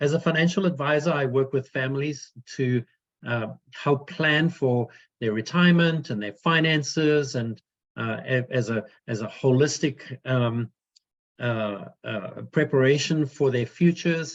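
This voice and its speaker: A man's fairly high voice, fairly slow in pace, with ordinary pitch variation. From South Africa. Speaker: financial advisor. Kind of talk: webinar presentation. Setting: video call webinar. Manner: hesitant, many fillers.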